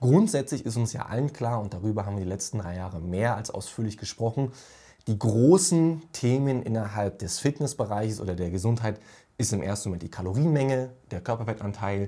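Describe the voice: A man speaks in a dark, mellow, fairly low voice with ordinary pitch variation and few pauses. The recording is very clean, with a silent background. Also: fairly quick pace.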